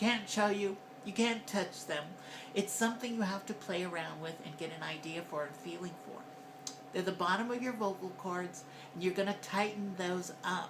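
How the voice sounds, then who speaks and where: Noticeable background noise sits under a woman talking at a moderate pace. Her pitch is medium, with ordinary variation. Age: 50s. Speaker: transgender voice coach vlogger. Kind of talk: voice training tutorial. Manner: hesitant, conversational.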